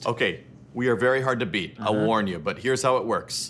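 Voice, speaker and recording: Medium-pitched male speech, moderate in pace, with vocal fry. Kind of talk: comedic interview banter.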